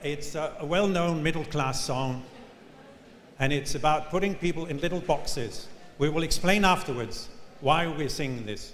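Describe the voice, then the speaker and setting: With a Danish accent, a man speaks at a moderate pace in a fairly high pitch, with ordinary pitch variation and long, frequent pauses. Noticeable background noise and audible room echo are present. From Denmark. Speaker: professor. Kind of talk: conference keynote.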